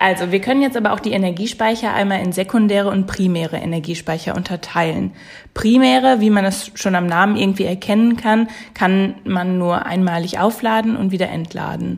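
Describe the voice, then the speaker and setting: Somewhat breathy speech comes at a fairly quick pace, its pitch varying in an ordinary way. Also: woman, medium pitch for a woman. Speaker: podcast host, chemistry student. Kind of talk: casual chat; reading aloud.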